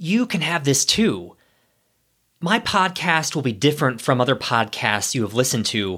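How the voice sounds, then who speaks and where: A man's plain, everyday voice with an American accent, fairly high in pitch, at a moderate pace in a very clean recording with a silent background. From US Midwest, Ohio. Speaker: podcast host, former corporate executive. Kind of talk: solo podcast monologue.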